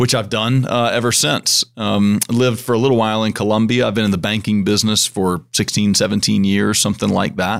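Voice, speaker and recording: Speaking with an American accent, the voice runs at a fairly quick pace with hardly any pauses and fairly even intonation. The recording is very clean, with a silent background. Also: man, fairly low pitch for a man. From US South, mountains of western North Carolina. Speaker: bank president. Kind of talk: podcast interview. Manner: halting, many fillers and restarts.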